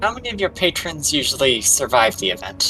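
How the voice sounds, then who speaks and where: A man puts on a character voice with a fairly high pitch and very wide pitch swings, speaking at a fairly quick pace. Clear music plays in the background. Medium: actual play. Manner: nervous.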